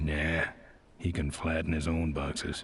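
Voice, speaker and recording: A man's put-on character voice, raspy and very deep, low in pitch, with monotone, flat intonation at a moderate pace. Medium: video game. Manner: terse, deadpan.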